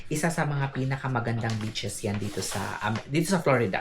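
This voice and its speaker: Noticeable background noise behind speech at a moderate pace. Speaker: vlogger. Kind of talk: casual vlog. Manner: hushed, lowered voice.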